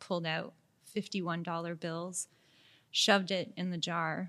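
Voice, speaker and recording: A woman with a fairly low pitch speaks at a moderate pace in a monotone, flat delivery, captured in a very clean recording with a silent background. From Montreal, Quebec. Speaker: creative director. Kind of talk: casual chat. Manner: direct.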